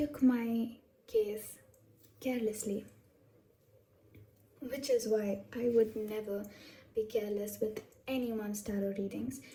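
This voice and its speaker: A dark, mellow, somewhat breathy voice in a flat monotone, at a fairly slow pace with long, frequent pauses. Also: woman, fairly high pitch for a woman. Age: adult, over 21. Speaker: tarot reader. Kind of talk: casual talk to camera.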